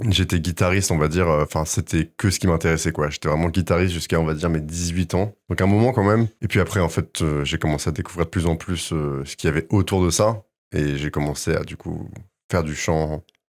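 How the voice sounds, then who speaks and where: The man's pitch is very deep and low, with ordinary pitch variation, at a fairly quick pace. The recording is very clean with a silent background. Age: 20s. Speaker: singer-songwriter. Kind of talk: casual interview. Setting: studio. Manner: hesitant, many fillers.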